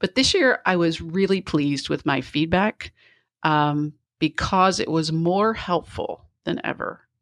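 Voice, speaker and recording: In a very clean recording with a silent background, a woman with an ordinary speaking voice talks at a fairly slow pace, her fairly low pitch showing ordinary variation. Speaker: speaker and HR talent consultant. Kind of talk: casual interview.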